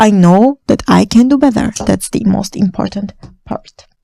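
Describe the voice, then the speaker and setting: At a fairly slow pace, a woman speaks with a non-native accent in a dry, close sound with no echo. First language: not English. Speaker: lifestyle vlogger. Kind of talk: casual monologue. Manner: halting.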